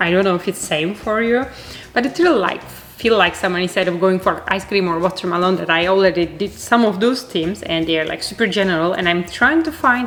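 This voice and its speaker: A woman speaks with a Turkish accent at a fairly quick pace. Noticeable background noise runs under her voice. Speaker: art youtuber. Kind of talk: casual vlog chat while crafting. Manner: chatty; halting, many fillers.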